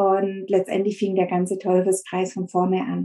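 This woman has a dark, mellow tone at a medium pitch. She talks at a fairly slow pace. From Stuttgart area, Swabia. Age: 40s. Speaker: eating disorder recovery coach. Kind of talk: interview testimony.

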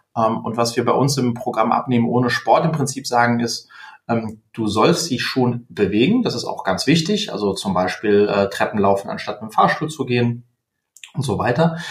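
Moderate pace and ordinary pitch variation from a man speaking at medium pitch. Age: 30s. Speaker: company founder and diet coach. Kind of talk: interview. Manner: halting, many fillers.

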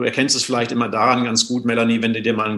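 The man's voice has a medium pitch and a bright, sharp tone. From Germany, Sauerland. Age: 50s. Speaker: water and essential oils consultant. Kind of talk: interview.

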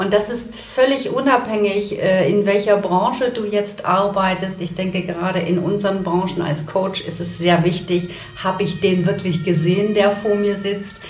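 Noticeable background noise and audible room echo accompany a woman's voice. She speaks at a medium pitch and a moderate pace. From Saxony, Germany. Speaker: story coach. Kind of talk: casual interview. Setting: in-person studio.

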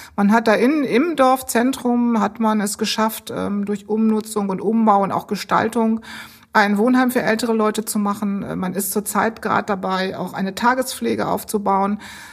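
A somewhat breathy woman, fairly high in pitch, on a very clean recording with a silent background. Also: fairly even intonation, moderate pace. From Bremen. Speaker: civil servant, department head. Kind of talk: interview.

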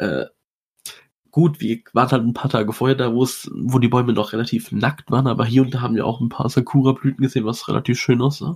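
The voice is somewhat breathy, with fairly even intonation at a very fast pace. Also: man, medium pitch for a man. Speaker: podcast co-host. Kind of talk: casual chat.

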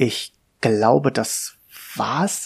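A man talks at a very slow pace. His voice is somewhat breathy. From Hannover, northern Germany. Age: 40s. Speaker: podcaster talking about his depression. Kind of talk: personal monologue. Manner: halting, many fillers.

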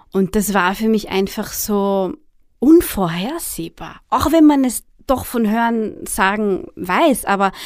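A woman with a Viennese accent speaks at a fairly high pitch in a very clean recording with a silent background. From Austria, Vienna. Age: 30s. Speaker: blogger and author. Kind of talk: interview. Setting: studio.

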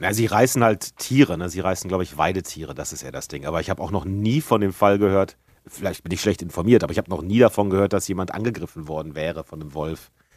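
A man with a very deep, low pitch speaks at a very fast pace with hardly any pauses. His pitch variation is ordinary, and his loudness swings widely. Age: 40s. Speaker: gaming podcast co-host. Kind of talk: casual chat.

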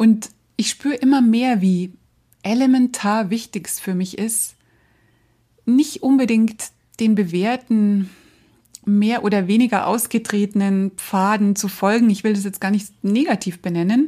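A woman with a fairly high pitch and a dark, mellow tone speaks at a fairly slow pace, somewhat breathy, with ordinary pitch variation and long, frequent pauses. The recording is very clean, with a silent background. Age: 50s. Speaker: podcast host, brand designer and trainer. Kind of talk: solo podcast monologue.

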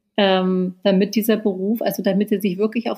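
Her voice is somewhat breathy and sits at a medium pitch. The woman speaks at a fairly quick pace. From Berlin, Germany. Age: 40s. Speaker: author and journalist. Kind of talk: interview. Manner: hesitant, many fillers.

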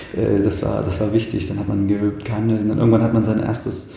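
Amid noticeable background noise and audible room echo, a man of medium pitch talks at a fairly quick pace. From Thuringia, Eichsfeld (eastern Germany). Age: 30s. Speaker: pianist and composer. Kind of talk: casual interview conversation. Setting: in person. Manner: halting, many restarts.

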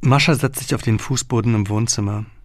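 The recording is very clean, its background silent. A man talks at a moderate pace in a plain, everyday voice, with ordinary pitch variation. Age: 30s. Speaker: journalist and author reading his own book. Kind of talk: audiobook reading.

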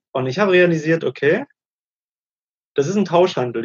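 His delivery is fairly quick, with ordinary pitch variation. The man sounds somewhat breathy. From Germany. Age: 30s. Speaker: digital nomad, former banker. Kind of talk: interview.

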